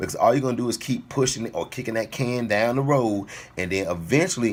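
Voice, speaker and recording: A man with an animated tone, a medium pitch, and a very fast pace. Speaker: fitness vlogger. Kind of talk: casual motivational talk to camera.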